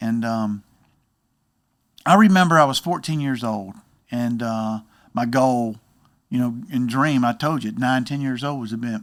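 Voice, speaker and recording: A man with a medium pitch speaks at a moderate pace, with ordinary pitch variation. He leaves long, frequent pauses. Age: 60s. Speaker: baseball hitting coach. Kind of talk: casual interview, personal testimony.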